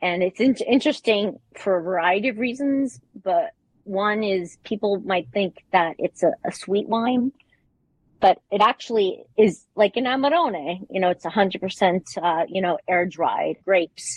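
A woman speaks at a fairly slow pace in an unremarkable speaking voice. Her medium pitch moves with lively intonation. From New York. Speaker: wine importer. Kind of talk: interview.

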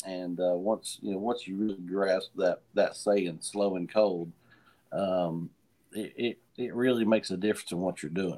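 A man in an Appalachian accent, dark and mellow in tone, at a moderate pace with fairly even intonation. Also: fairly low pitch for a man. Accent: Appalachian Southern US. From western North Carolina (Hendersonville/Asheville). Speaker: moonshiner and master distiller. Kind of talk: casual interview chat. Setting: remote video call on a tablet.

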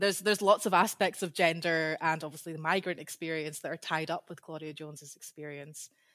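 Speaking at a fairly quick pace in a Scottish accent, a woman has a very deep, low pitch, recorded with a dry, close sound and no echo. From Scotland. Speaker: PhD candidate, historian. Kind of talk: interview, casual chat.

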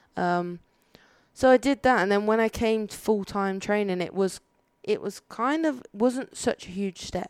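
A woman with a Birmingham accent speaks at a moderate pace in a very clean recording with a silent background, the sound dry and close with no echo. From Birmingham, England. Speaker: judo athlete. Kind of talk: casual interview chat. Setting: in person, not studio.

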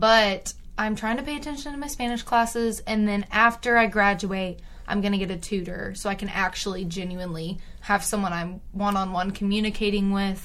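Fairly quick speech from a woman with an American accent, medium in pitch with ordinary variation, in audible room echo. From East Texas (Tyler). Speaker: podcast co-host, college student. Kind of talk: casual chat. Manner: animated.

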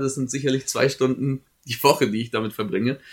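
Speaking at a fairly quick pace, a man with a normal speaking voice has a medium pitch and ordinary pitch variation, on a very clean recording with a silent background. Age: 20s. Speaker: student podcast co-host. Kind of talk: casual chat. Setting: studio.

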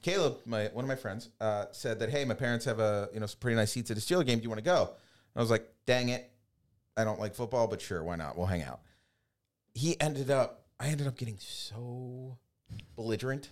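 Heard on a very clean recording with a silent background, a man has a plain, everyday voice at a medium pitch, moving at a fairly quick pace with ordinary pitch variation. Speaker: Paralympic sled hockey player. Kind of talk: casual chat. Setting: studio.

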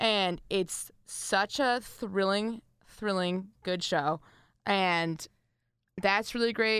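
In a very clean recording with a silent background, a woman speaks at medium pitch and a very slow pace, with very even loudness and ordinary pitch variation. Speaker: college student podcast co-host. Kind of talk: casual chat. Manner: quieter voice; does not enunciate clearly.

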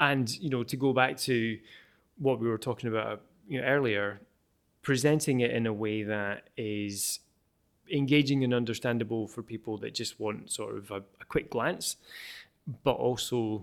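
A man talks at a moderate pace with fairly even intonation and long, frequent pauses. The recording is very clean, with a silent background. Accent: Edinburgh. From Scotland, Edinburgh. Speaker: air quality researcher and app developer. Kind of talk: interview. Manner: hesitant, many fillers and repetitions.

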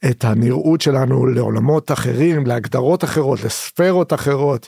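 A man with a plain, everyday voice speaks at a fairly slow pace and medium pitch, with ordinary pitch variation and a dry, close sound with no echo. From Israel, Haifa. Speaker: activist and trance party-goer. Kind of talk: podcast interview.

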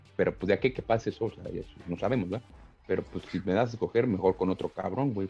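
A man at a very fast pace, fairly even in intonation, with music in the background. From Mexico, Tlalnepantla (State of Mexico). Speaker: MMA fighter. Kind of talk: casual interview. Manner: casual, slangy.

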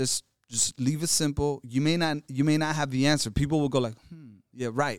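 An ordinary speaking voice, a man's with an American accent, comes at a moderate pace in a fairly high pitch with fairly even intonation, recorded dry and close with no echo. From Los Angeles (South Central), partly Mexico. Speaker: hip-hop artist and educator. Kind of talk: casual interview chat. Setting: conference venue in New Orleans.

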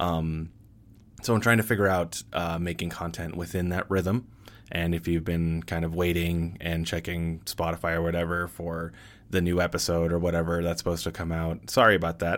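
In an American accent, a man talks at a moderate pace. His pitch is very deep and low. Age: 30s. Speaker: podcaster and fiction writer. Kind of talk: unscripted monologue. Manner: hesitant, many fillers.

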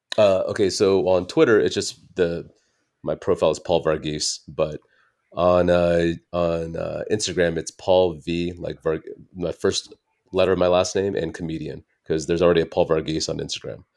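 Recorded very cleanly against a silent background, a man with a General American accent talks at a moderate pace. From US, Dallas area. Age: 40s. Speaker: stand-up comedian. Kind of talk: casual interview chat.

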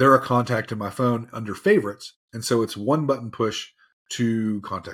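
This man talks at a moderate pace with an American accent and a medium pitch. He has a plain, everyday voice. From US South, Tennessee. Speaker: software solutions engineer. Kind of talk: webinar presentation.

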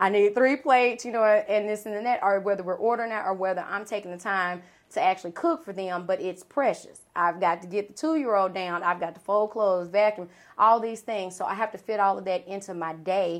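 Ordinary pitch variation in a woman's medium-pitched speech, delivered at a fairly quick pace. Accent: Southern US. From US South, Arkansas. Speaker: event planner and business owner. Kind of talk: podcast interview.

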